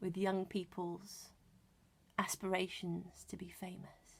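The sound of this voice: The pace is slow. A slightly husky edge runs through the voice. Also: woman.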